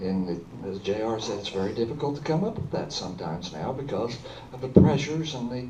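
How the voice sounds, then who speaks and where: Noticeable background noise and audible room echo accompany this recording. A man talks at a very fast pace with lively intonation. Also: medium pitch for a man. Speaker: school board candidate. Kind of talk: candidate forum answer. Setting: public forum with audience.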